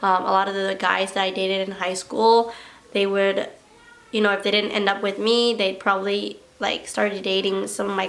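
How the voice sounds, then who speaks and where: A woman speaks at medium pitch in a monotone, flat intonation. Audible room echo and noticeable background noise surround her voice. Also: moderate pace. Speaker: lifestyle vlogger. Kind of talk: casual chat.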